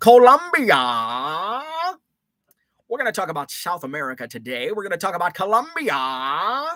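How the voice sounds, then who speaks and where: A man puts on a gruff character voice, high in pitch, with very wide pitch swings. He moves at a moderate pace. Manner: gruff, like a gangster.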